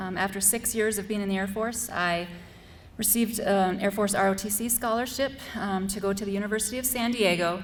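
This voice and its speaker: Over audible room echo, a woman with an American accent talks at a fairly quick pace, her medium pitch showing ordinary variation. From US Midwest, North Dakota. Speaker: school board candidate, Air Force veteran. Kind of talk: candidate forum speech. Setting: school forum with student audience.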